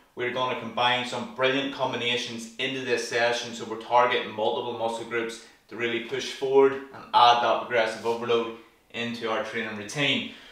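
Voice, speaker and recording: A man's flat, monotone delivery at a fairly quick pace, with audible room echo. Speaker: fitness instructor. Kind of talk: tutorial. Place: home room.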